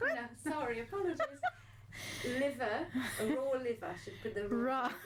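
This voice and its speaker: Against noticeable background noise and audible room echo, a woman with a French accent speaks at a high pitch and moderate pace with lively intonation. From France. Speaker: nutritionist and wellness show co-host. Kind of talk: casual chat. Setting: radio studio. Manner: hesitant, many fillers.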